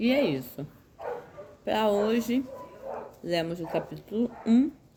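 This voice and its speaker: Over noticeable background noise, a woman talks very slowly with lively intonation. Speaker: Bible reading channel host. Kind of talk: Bible commentary and personal update. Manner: halting.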